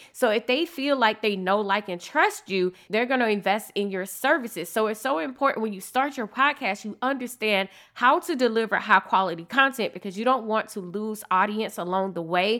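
With an animated, enthusiastic tone, a woman talks at a fairly high pitch and a fairly quick pace, her bright, sharp voice leaving hardly any pauses. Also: ordinary pitch variation. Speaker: podcast host and business coach. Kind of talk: solo podcast monologue, promotional.

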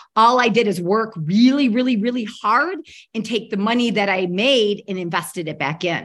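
Lively intonation marks a normal speaking voice. The pace is moderate and the background quiet. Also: woman, fairly high pitch for a woman. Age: middle-aged. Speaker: real estate agent and investor. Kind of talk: interview.

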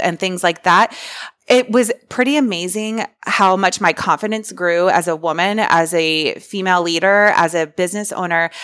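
A woman with an American accent and an ordinary speaking voice, medium in pitch and moderate in pace, on a very clean recording with a silent background. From Central Florida. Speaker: interior designer. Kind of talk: casual interview.

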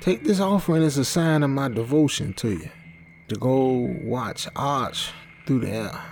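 Noticeable background noise accompanies a man whose fairly high pitch shows ordinary variation as he talks at a moderate pace. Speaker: story narrator. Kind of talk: literary audiobook reading. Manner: measured, atmospheric storytelling pace; dramatic, brooding tone.

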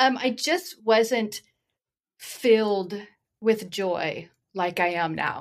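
A woman speaks in a fairly high voice at a very slow pace. Long pauses come often. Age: 50s. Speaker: artist. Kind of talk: casual chat. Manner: halting.

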